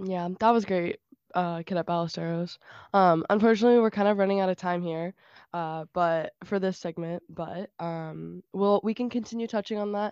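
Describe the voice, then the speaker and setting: A normal speaking voice from a woman, medium in pitch and fairly even in intonation, at a moderate pace, with a dry, close sound, no echo and a quiet background. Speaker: ROTC cadet. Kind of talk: casual chat.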